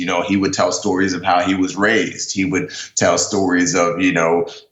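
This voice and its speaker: Over noticeable background noise and audible room echo, a man with an American accent speaks at a moderate pace in a very deep, low pitch. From New York, the Bronx. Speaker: former navy seal, author. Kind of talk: interview. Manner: many fillers like you know, um.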